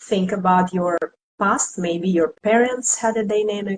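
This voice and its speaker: Somewhat breathy, a woman with a Russian accent talks at a fairly slow pace with ordinary pitch variation. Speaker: tarot reader and esoteric teacher. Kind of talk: live stream discussion.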